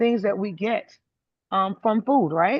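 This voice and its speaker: With an American accent, a woman speaks at a moderate pace. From US South, South Carolina. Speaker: testimonial speaker. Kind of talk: testimony. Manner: soft-spoken, talking low.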